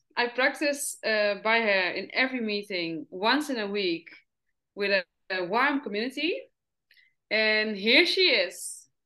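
In a Dutch accent, a woman speaks at a fairly slow pace, her fairly high pitch carried by lively intonation. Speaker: podcast host. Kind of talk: interview conversation. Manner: halting.

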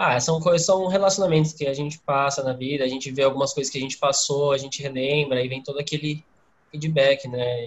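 A man with a fairly high pitch speaks fairly quickly in a somewhat breathy voice, keeping his intonation fairly even. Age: 20s. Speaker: university student, podcast co-host. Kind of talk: casual interview chat.

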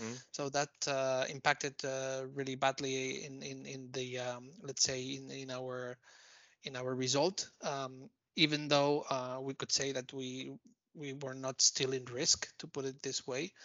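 This man talks fairly slowly at a medium pitch, his intonation monotone and flat, with big swings in loudness. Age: 50s. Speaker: managing director. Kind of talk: interview. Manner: halting, many repeated words.

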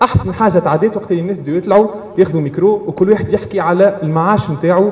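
Noticeable noise fills the background while a man talks fairly quickly. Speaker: campaign organizer and event moderator. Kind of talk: public talk at live event. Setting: café with live audience.

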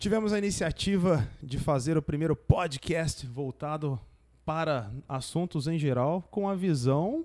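At a fairly slow pace, a man with fairly high pitch and ordinary pitch variation talks in an unremarkable speaking voice. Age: young. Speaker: podcast host, engineer. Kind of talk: casual chat. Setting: studio.

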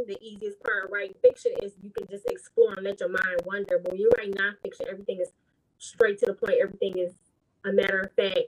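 A woman talks at a very fast pace in an American accent. The sound is dry and close, without echo. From Detroit, Michigan. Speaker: author and nurse. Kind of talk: interview.

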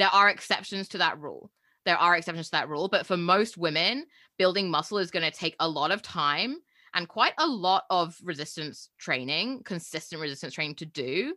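In a very clean recording with a silent background, a woman with a fairly low pitch and a bright, sharp tone speaks with ordinary pitch variation. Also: fairly quick pace. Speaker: podcast co-host and coach. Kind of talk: casual chat. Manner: fast talker.

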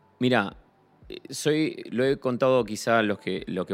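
A man's pitch varies in an ordinary way on a very clean recording against a silent background. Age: 40s. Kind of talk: casual chat. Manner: halting, repeats words.

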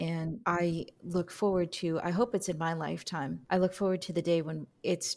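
A woman with a plain, everyday voice and fairly low pitch speaks at a moderate pace in a very clean recording with a silent background. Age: 40s. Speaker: podcast host, military historian. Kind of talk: interview.

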